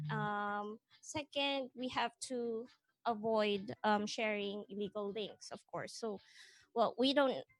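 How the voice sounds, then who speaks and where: A woman's fairly high voice at a very slow pace, ordinary pitch variation, a dry, close sound with no echo and music in the background. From Philippines. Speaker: manga company producer. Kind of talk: panel presentation.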